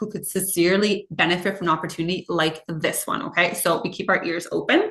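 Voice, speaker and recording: Noticeable background noise sits behind a woman. She speaks in an animated tone at a very fast pace. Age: 30s. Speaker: direct sales consultant. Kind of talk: sales pitch.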